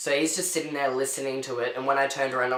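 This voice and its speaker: A man talks with an Australian accent. Noticeable background noise and audible room echo fill the recording. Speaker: vlogger. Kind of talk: storytelling rant.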